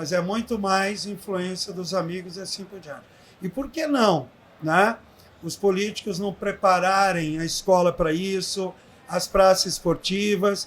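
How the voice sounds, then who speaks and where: A man's high-pitched voice at a fairly slow pace, with big swings in loudness. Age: 70s. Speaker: aquatics professor. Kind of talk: interview. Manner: animated.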